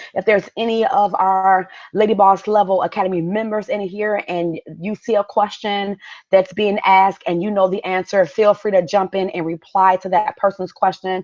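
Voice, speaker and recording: Speaking at a moderate pace with a plain, everyday voice, a woman keeps a medium pitch and fairly even intonation, recorded with a dry, close sound with no echo against a quiet background. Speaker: business coach. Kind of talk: live webinar masterclass. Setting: live stream.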